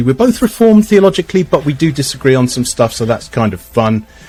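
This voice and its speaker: A man talks at a very fast pace, somewhat breathy, his pitch swinging very widely. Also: hardly any pauses. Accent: English. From England. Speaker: podcast host. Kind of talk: casual chat.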